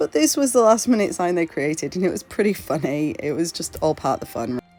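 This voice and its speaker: The speaker moves at a fairly quick pace with very wide pitch swings. Music plays in the background. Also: woman, fairly low pitch for a woman. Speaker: festival crochet trader. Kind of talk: casual vlog narration.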